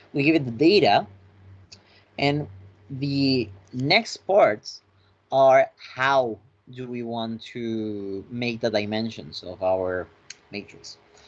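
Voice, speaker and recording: The speech moves very slowly, with long, frequent pauses. Loudness swings widely, while pitch varies in an ordinary way. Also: man, medium pitch for a man. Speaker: finance tutorial instructor. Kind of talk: lecture.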